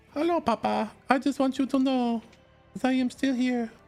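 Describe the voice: Over faint music in the background, a put-on character voice at a fairly high pitch goes along at a moderate pace.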